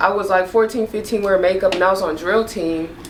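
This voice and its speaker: Noticeable background noise behind a woman's medium-pitched voice with ordinary pitch variation. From New Orleans. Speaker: makeup artist. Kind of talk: casual chat. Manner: animated.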